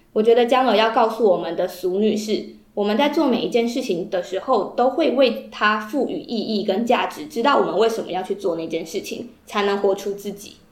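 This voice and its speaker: Over noticeable background noise and audible room echo, a woman with a fairly high pitch speaks at a fairly quick pace with hardly any pauses and ordinary pitch variation. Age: 20s. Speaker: podcast co-host. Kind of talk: casual book discussion.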